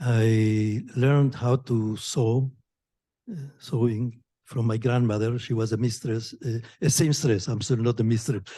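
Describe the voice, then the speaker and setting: A man with a dark, mellow tone speaks at medium pitch, somewhat breathy, at a fairly slow pace with a non-native accent and fairly even intonation. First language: not English. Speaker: physicist in the audience. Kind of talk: audience comment. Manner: halting.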